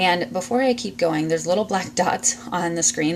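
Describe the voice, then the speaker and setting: Words pour out at a very fast pace. Behind them is noticeable background noise. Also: woman. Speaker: essential oils seller and class teacher. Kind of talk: live-streamed informal class. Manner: hesitant, many fillers.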